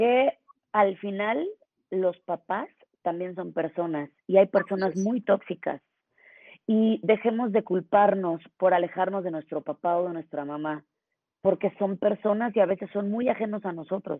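Speaking at a fairly slow pace, a woman has a plain, everyday voice, medium in pitch with ordinary pitch variation. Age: 40s. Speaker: podcast co-host. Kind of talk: casual chat.

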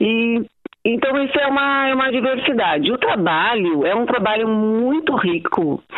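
Slowish and very even in loudness, a woman's fairly high voice swings very widely in pitch. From Porto Alegre, southern Brazil. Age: 60s. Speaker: dance teacher and studio owner. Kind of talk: interview.

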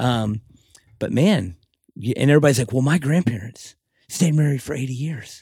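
A man with an American accent, somewhat breathy, dark and mellow in tone, with lively intonation and long, frequent pauses. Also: medium pitch for a man, moderate pace. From Texas, Fort Worth. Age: 40s. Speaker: tattoo artist. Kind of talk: casual interview. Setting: tattoo shop.

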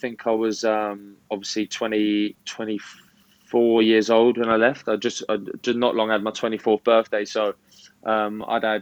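A man speaks with a southern English accent. He keeps a moderate pace.

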